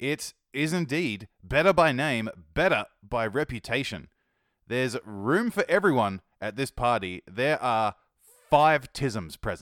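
With an Australian accent and very wide pitch swings, a man talks at a fairly slow pace in a dry, close sound with no echo on a very clean recording with a silent background. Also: medium pitch for a man. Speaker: music podcast host. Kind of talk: scripted music review podcast. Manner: upbeat, casual, chatty.

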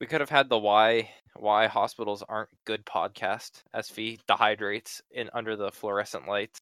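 At a moderate pace with hardly any pauses, a man with an ordinary speaking voice and a fairly low pitch keeps his intonation fairly even. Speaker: podcast host. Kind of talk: casual chat.

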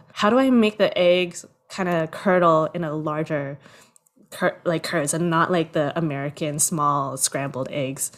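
With a plain, everyday voice, a woman speaks fairly slowly at a fairly low pitch and with ordinary pitch variation. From Toronto, Canada. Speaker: producer and screenwriter. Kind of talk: casual interview chat. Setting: home, father cooking in background.

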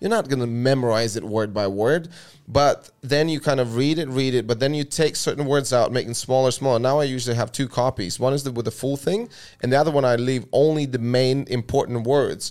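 A man with an Eastern European accent talks at a fairly quick pace and a medium pitch. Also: ordinary pitch variation. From Latvia. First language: Russian. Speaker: podcast host. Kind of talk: casual chat.

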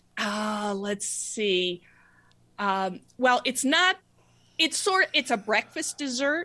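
With an American accent, a woman speaks at a very slow pace with long, frequent pauses, her high-pitched, bright, sharp voice making very wide pitch swings against a quiet background. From US, New Mexico. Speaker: fair trade business founder. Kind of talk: interview.

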